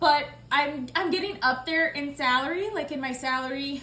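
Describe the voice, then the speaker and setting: A woman raises and projects her high voice at a fairly slow pace. Her pitch varies in an ordinary way, and audible room echo surrounds her. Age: 30s. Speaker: budgeting vlogger. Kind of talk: casual vlog talk. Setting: at home. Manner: chatty, filler-heavy.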